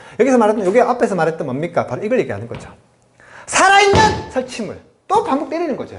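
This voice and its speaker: Audible room echo surrounds a man speaking at a very fast pace. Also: big swings in loudness. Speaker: English teacher. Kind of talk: lecture. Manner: animated.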